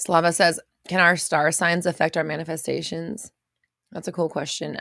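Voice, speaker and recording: Putting on a character voice, a woman speaks in a raspy, fairly low pitch at a moderate pace with monotone, flat intonation. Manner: slightly muffled.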